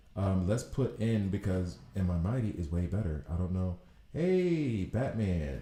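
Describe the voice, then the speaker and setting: With an American accent, a man speaks at a fairly slow pace in a very deep, low pitch, his dark, mellow tone somewhat breathy, with lively intonation and very even loudness. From US South, Alabama. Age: 40s. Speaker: gaming streamer. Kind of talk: live gameplay commentary. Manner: casual, thinking aloud.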